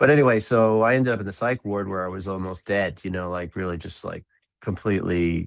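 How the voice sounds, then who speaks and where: On a very clean recording with a silent background, a man speaks at a very deep, low pitch with ordinary pitch variation. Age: 60s. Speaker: drummer and composer. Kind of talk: interview. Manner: halting.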